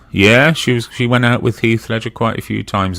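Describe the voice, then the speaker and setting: With a slight Brummie accent, a man speaks in a bright, sharp tone with ordinary pitch variation. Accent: slight Brummy. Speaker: live stream participant. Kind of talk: casual chat.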